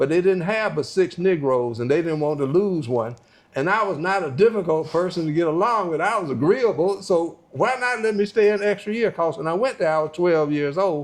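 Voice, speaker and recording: A man with a North Carolina accent, high-pitched and lively in intonation, at a fairly quick pace. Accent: Southern US (North Carolina). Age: 70s. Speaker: retired doctor. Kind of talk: interview.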